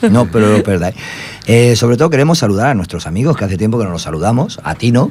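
Over noticeable background noise, a man speaks at medium pitch and a very fast pace. His intonation is lively. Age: 50s. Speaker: community radio host for an unemployed workers' association. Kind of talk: casual chat.

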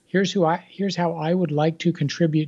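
A man with an unremarkable speaking voice talks at a fairly quick pace with fairly even intonation. The background is quiet. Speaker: author. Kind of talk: interview.

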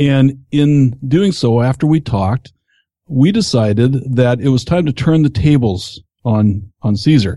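With a dark, mellow, somewhat breathy tone, a man at a medium pitch talks fairly slowly with lively intonation and very even loudness. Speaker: podcast host. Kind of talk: podcast interview. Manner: conversational, with fillers.

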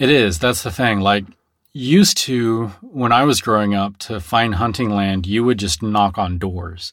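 A man speaks at a fairly slow pace with a Texan accent, his pitch fairly low and its variation ordinary. The recording is very clean, with a silent background. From Texas.

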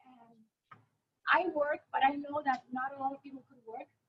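A Puerto Rican accent at a moderate pace. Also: woman. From Puerto Rico. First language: Spanish. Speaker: spinal cord injury advocate. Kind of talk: panel discussion.

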